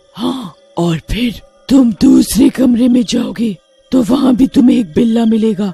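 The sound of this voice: Faint music plays behind a cartoonish character voice that speaks at a fairly slow pace and a fairly high pitch.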